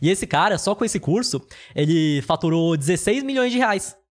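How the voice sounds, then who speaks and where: A man in a plain, everyday voice at a fairly slow pace, on a very clean recording with a silent background. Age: 20s. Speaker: finance YouTuber. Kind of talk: casual interview.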